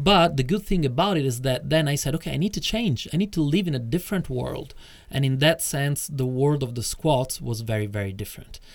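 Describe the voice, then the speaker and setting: Fairly quick, lively speech with hardly any pauses in an Italian accent. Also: man, fairly high pitch for a man. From Italy (Rome). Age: 40s. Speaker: tantra teacher. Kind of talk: interview.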